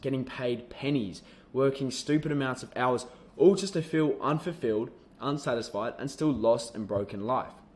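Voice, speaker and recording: An Australian-accented man at a moderate pace, medium pitch and ordinary pitch variation, on a very clean recording with a silent background. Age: young. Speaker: online business coach. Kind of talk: sales pitch.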